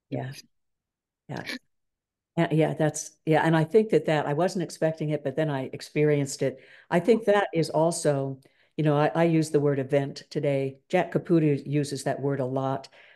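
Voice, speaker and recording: Against a quiet background, a woman speaks at a moderate pace in a very deep, low pitch, with a dark, mellow tone and fairly even intonation. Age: 70s. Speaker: discussion leader on Christianity. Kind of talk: reflective talk and group discussion. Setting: video call. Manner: hesitant, many fillers. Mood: thoughtful, reflective. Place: home room. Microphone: video call.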